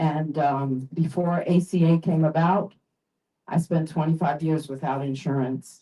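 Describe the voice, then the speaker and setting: Speaking at a very slow pace, a woman has a somewhat breathy, dark and mellow voice pitched fairly low. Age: 60s. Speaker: health insurance enrollee sharing her story. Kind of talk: testimony. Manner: halting.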